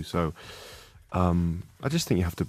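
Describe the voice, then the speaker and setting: A man speaks with a very deep, low pitch. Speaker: rock band musician. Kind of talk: interview answer. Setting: radio studio.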